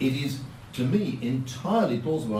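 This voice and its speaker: Against noticeable background noise and audible room echo, a man talks with lively intonation. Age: 70s. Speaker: politician. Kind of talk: speech.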